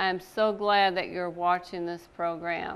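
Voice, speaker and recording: Her intonation stays fairly even as she talks at a fairly slow pace. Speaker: pastor hosting a TV program. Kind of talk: sermon. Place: studio. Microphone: lapel.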